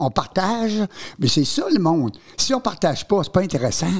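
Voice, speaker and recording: Very wide pitch swings in a man's high voice, at a fairly slow pace. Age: 80s+. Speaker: veteran entertainer and former teacher. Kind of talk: casual chat. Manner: animated.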